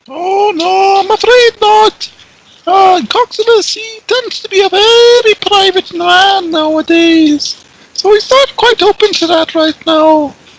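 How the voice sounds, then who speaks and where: A put-on character voice, squeaky and extremely high-pitched, at a fairly slow pace. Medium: actual play. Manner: chatty, eager to please.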